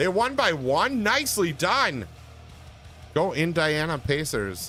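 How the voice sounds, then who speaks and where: A man mumbles in a Wisconsin accent at a fairly high pitch, his voice making very wide pitch swings. Long, frequent pauses break up his speech, with music in the background. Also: very even loudness. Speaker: gaming livestreamer. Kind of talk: casual chat. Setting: livestream. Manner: mumbling.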